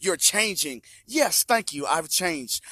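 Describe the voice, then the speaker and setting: A man speaks in a high, raised, projected voice with an animated tone. The recording is very clean, with a silent background. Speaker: vlogger sharing personal recovery story. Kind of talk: personal monologue.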